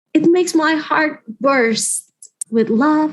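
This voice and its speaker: A woman at a very slow pace over a quiet background. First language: not English. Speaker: writer, youth advisory board member. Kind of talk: casual interview chat. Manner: halting, with fillers.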